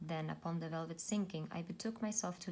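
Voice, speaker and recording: Soft-spoken and somewhat breathy, a woman talks at a fairly quick pace with a fairly low pitch and fairly even intonation. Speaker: YouTube book reader / ASMR reader. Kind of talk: poetry reading, soft-spoken ASMR-style reading aloud. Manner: soft-spoken, gentle.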